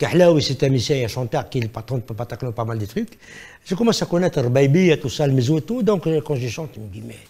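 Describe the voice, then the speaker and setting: Using lively intonation and a fairly quick pace, a man speaks at medium pitch with a dark, mellow, somewhat breathy tone. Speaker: singer. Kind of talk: TV interview.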